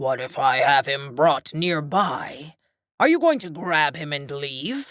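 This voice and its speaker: A woman puts on a character voice, growling and hissing at a very deep, low pitch. She goes at a fairly slow pace on a very clean recording with a silent background. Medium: read story. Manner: suspicious, blustering.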